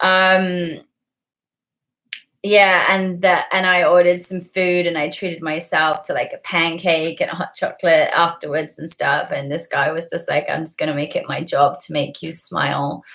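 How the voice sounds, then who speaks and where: An American accent with monotone, flat intonation. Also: woman, fairly low pitch for a woman, moderate pace. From England. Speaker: livestreamer. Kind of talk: casual livestream chat.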